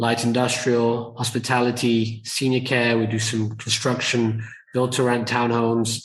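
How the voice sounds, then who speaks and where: A somewhat breathy man's voice at a medium pitch and a moderate pace, with a British accent. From UK. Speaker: entrepreneur and investor. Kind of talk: podcast interview.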